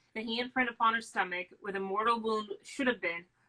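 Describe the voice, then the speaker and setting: Here a woman talks at a fairly high pitch with ordinary pitch variation. Her tone comes across bright and sharp. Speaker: book reading host. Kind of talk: reading aloud. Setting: live stream. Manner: fast.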